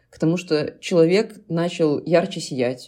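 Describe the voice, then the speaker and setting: The tone is dark and mellow, the pace fairly slow, and the pitch varies in an ordinary way. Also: woman. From Belarus. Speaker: cover dance school founder and osteopath. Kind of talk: casual chat.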